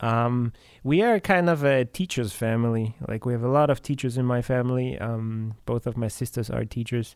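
An unremarkable speaking voice from a man at medium pitch, moderate in pace with hardly any pauses and ordinary pitch variation, on a very clean recording with a silent background. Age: 30s. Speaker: metal drummer. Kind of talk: casual chat.

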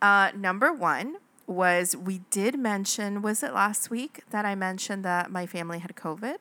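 In a very clean recording with a silent background, a woman speaks at a moderate pace in a bright, sharp, animated tone, her medium pitch showing ordinary variation. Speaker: podcast co-host. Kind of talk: casual chat. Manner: excitable, animated.

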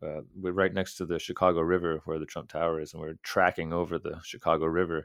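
There's a man talking at a fairly quick pace. The background is quiet. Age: 40s. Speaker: urban BASE jumper. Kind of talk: casual chat.

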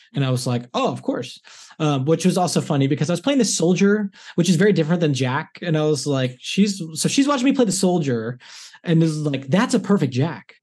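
A man's plain, everyday voice with an American accent, a fairly quick pace and lively intonation against a quiet background. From Los Angeles. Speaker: stage and screen actor. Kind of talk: casual interview.

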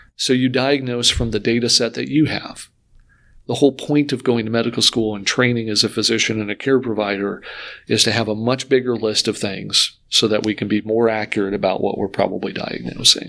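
A man's bright, sharp tone at medium pitch, with fairly even intonation and a fairly quick pace. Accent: American. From Michigan (Grand Rapids). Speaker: heart failure doctor. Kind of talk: interview about his medical work.

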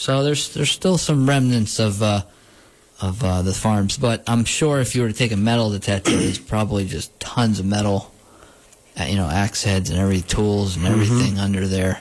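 Noticeable background noise surrounds a man whose fairly low voice holds a very even loudness. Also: ordinary pitch variation, fairly quick pace. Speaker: radio host. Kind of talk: casual chat.

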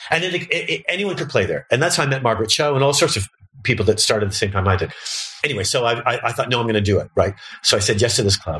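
At a very fast pace, a man with a medium pitch talks with lively intonation over noticeable background noise. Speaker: comedian. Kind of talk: casual interview chat.

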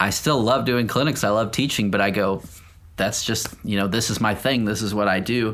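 A man speaks in a normal speaking voice at a moderate pace. His loudness is very even and his intonation fairly even. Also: fairly low pitch for a man. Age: 40s. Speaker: professional touring drummer. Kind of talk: casual interview.

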